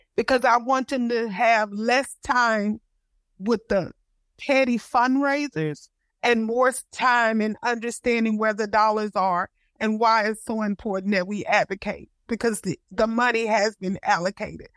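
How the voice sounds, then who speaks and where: A woman with a Texas accent speaks at a fairly slow pace in a fairly high pitch with ordinary pitch variation, in a very clean recording with a silent background and a dry, close sound with no echo. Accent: Southern US (Texas). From Houston, Texas. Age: 50s. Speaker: parent advocate. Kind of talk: panel discussion.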